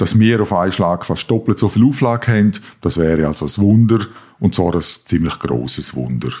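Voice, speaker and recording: With an unremarkable speaking voice, a man talks at a fairly low pitch with lively intonation. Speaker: editor-in-chief. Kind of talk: scripted comedic dialogue.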